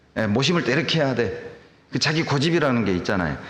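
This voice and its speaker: A man at a medium pitch with lively intonation, plus audible room echo and noticeable background noise. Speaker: pastor. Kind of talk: sermon.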